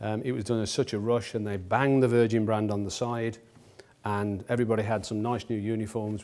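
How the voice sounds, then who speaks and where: A man's fairly low-pitched, fairly quick delivery in a plain, everyday voice. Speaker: company executive lecturer. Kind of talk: lecture. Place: hall.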